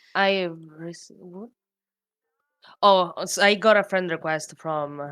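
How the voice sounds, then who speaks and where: A woman speaks with a non-native accent. Her pitch is fairly low, with ordinary variation. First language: not English. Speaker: streamer. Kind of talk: casual chat. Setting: livestream call. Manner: halting.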